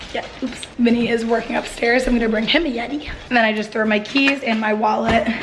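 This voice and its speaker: Noticeable background noise and audible room echo accompany a woman's voice. She speaks at a fairly high pitch and fairly quick pace with fairly even intonation. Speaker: vlogger. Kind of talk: casual vlog talk. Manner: casual, filler-heavy.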